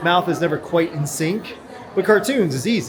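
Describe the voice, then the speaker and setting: Over crowd noise and audible room echo, a man speaks at a high pitch and moderate pace with lively intonation. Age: 40s. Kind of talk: casual vlog narration. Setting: shopping mall.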